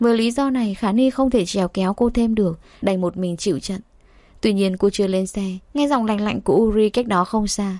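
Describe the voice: Pitch varies in an ordinary way as the passage is read plainly aloud.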